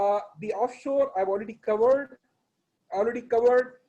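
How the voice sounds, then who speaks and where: The man's tone is dark and mellow, and he speaks at a fairly quick pace. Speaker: oil and gas company executive. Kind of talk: webinar presentation. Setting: video call. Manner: fast; halting.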